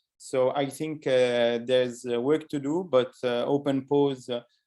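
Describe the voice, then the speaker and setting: At a fairly slow pace, a man speaks with a fairly high pitch and fairly even intonation. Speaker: robotics researcher. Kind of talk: academic seminar talk. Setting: webinar. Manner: hesitant, many fillers.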